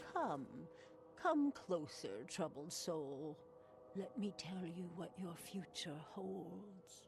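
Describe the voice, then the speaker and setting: Performed in a put-on character voice, the lines come at a very slow pace over clear background noise. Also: female-sounding voice, fairly low pitch for a woman. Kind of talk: mystical prophecy. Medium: video game. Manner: cryptic, slow, knowing.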